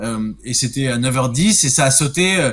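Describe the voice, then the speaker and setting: Against a quiet background, a man with a fairly high voice speaks at a moderate pace with ordinary pitch variation. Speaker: radio morning show host. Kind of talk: casual chat. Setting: video call. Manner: loud.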